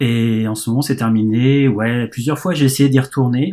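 This is a very clean recording with a silent background. A man speaks at a medium pitch in a dark, mellow tone. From France. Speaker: baseball fan guest. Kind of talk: casual chat. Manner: halting.

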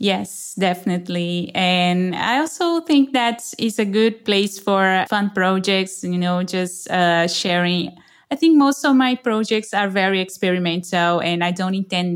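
A woman with a Brazilian accent at a medium pitch and fairly slow pace, ordinary pitch variation, in a very clean recording with a silent background. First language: Portuguese. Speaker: developer advocate. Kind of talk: casual interview.

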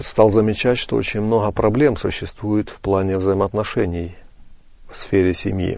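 Here a man talks at a fairly low pitch with fairly even intonation. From eastern Ukraine, Donetsk region. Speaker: pastor and family counselor. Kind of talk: interview.

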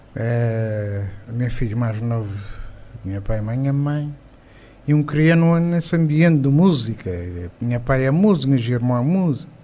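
With a dark, mellow tone and medium pitch, a man talks at a moderate pace with lively intonation and long, frequent pauses, and audible room echo. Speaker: music composer. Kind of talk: casual interview. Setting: studio.

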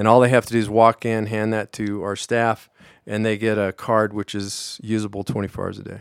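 A man's fairly low, monotone voice with an American accent, at a fairly quick pace in a very clean recording with a silent background. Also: dry, close sound with no echo. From Colorado, Pueblo. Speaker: vice president of a community fitness nonprofit. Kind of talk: radio interview.

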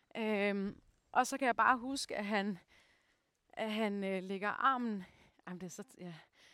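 Bright and sharp in tone, a woman speaks at a medium pitch and a fairly slow pace with fairly even intonation, big swings in loudness, and long, frequent pauses. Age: 30s. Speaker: actor and mindset coach. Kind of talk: personal testimony. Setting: outdoors on a walk. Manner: halting, many fillers.

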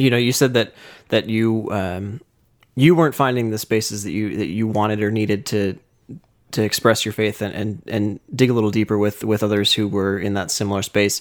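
A man talks in a normal speaking voice at a fairly low pitch, moving at a fairly quick pace with fairly even intonation. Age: 20s. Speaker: podcast host. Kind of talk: casual interview; scripted intro and outro.

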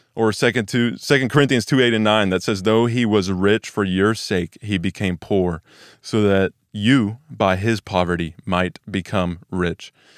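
Recorded very cleanly with a silent background and a dry, close sound with no echo, a man with an American accent and a normal speaking voice talks at a fairly slow pace in a fairly low pitch with ordinary pitch variation. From Texas, Weatherford/Peaster. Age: young. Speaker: church staff member, casual YouTuber. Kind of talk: devotional Bible teaching. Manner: casual, conversational.

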